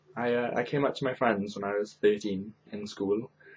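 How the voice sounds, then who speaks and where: This is a man speaking. He has a Welsh accent. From Wales, Carmarthen. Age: young. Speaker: YouTuber. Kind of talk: casual chat.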